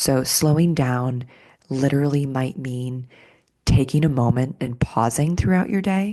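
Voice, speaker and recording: A soft-spoken woman talks at a fairly slow pace in a very deep, low voice. Her pitch varies in an ordinary way, and the background is quiet. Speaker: somatics teacher and podcast host. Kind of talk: podcast monologue. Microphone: close to the mic.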